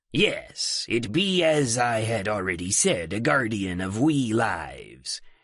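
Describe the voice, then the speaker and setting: A man's put-on character voice at medium pitch, fairly slow, with hardly any pauses. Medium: read story. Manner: grandiloquent, old-fashioned pirate speech.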